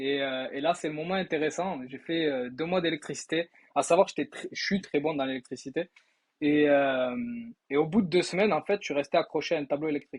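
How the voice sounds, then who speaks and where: With a slight Toulouse accent, a man talks at a fairly quick pace in a fairly high pitch and ordinary pitch variation. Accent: slight southern French (Toulouse). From southern France, Toulouse. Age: 20s. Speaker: sales trainee, former electrician. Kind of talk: testimony. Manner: casual, hesitant with many fillers.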